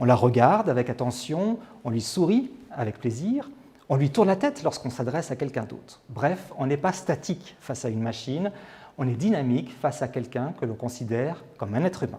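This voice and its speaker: This man talks at a fairly quick pace with lively intonation and a medium pitch. His tone is dark and mellow, and somewhat breathy. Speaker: TV presenter and on-camera coach. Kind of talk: instructional tips to camera. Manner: whispered.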